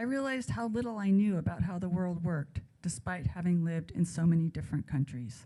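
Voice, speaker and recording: Very fast and with hardly any pauses, a woman talks at a fairly low pitch, somewhat breathy. Her pitch swings very widely. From raised abroad and California. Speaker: author. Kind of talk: reading aloud. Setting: stage with audience.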